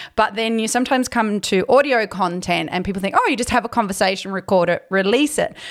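With an Australian accent, a woman talks very fast at a fairly high pitch, leaving hardly any pauses. Her pitch varies in an ordinary way. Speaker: podcast host. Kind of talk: interview.

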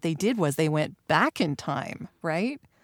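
A woman speaks in a cheerful tone, with a dry, close sound with no echo, in a very clean recording with a silent background. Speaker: voiceover artist. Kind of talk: casual interview chat. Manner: laughs often, cheerful.

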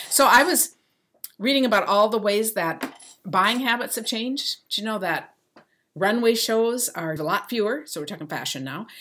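In a very clean recording with a silent background, a bright, sharp voice moves at a moderate pace with lively intonation and big swings in loudness. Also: woman, fairly high pitch for a woman. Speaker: podcast co-host. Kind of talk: casual chat.

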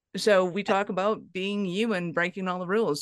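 A woman talks at a fairly quick pace in a fairly low pitch, with a dry, close sound with no echo and a quiet background. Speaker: podcast host. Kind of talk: interview. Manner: fast; animated.

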